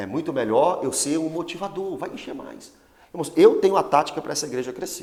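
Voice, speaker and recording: Over noticeable background noise, a man talks at a fairly quick pace in an animated tone, with lively intonation and big swings in loudness. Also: fairly high pitch for a man. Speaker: pastor. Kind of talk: Bible study teaching.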